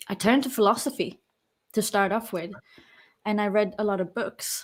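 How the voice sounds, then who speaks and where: In a very clean recording with a silent background, a woman with a slight London accent talks at a moderate pace, her medium pitch following fairly even intonation. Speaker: personal trainer and coach. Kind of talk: interview.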